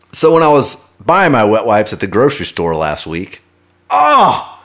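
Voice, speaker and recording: An animated man with an American accent speaks at a moderate pace. His pitch swings very wide, with vocal fry. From US Midwest, Kansas City. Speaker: podcast host. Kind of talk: casual monologue.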